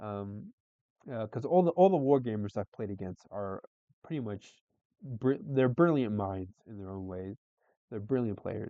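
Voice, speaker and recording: A man with a fairly low pitch speaks at a moderate pace with lively intonation. His loudness swings widely, and he leaves long, frequent pauses. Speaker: wargaming YouTuber. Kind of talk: let's play commentary. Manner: halting, many fillers.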